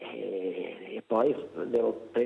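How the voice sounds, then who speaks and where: A man's voice at medium pitch. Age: 80s+. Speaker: caller, prostate cancer patient. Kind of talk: phone-in question. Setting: phone call. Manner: halting, repetitive.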